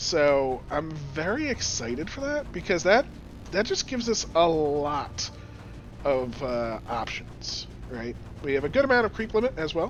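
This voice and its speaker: A man speaks at a fairly slow pace. Behind him, music is playing. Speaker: gaming YouTuber. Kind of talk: casual gameplay commentary.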